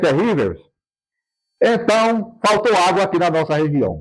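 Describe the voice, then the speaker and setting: The man's voice is high-pitched, with ordinary pitch variation. He speaks at a fairly slow pace. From Brazilian Northeast, Rio Grande do Norte (Seridó). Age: 80s+. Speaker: local elder and historian. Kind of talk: interview testimony. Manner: halting, with repetitions.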